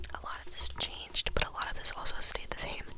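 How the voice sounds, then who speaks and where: Someone whispers at a moderate pace with noticeable background noise. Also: woman. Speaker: interior design college student. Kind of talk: ASMR ramble talking to camera, explaining a school project. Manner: close whispers, casual chatty.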